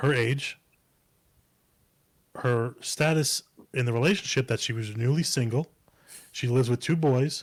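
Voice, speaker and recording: A man with a medium-pitched, somewhat breathy voice and ordinary pitch variation. The recording is very clean, with a silent background and a dry, close sound free of echo. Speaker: podcast co-host. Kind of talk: casual chat. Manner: fast; hard to follow.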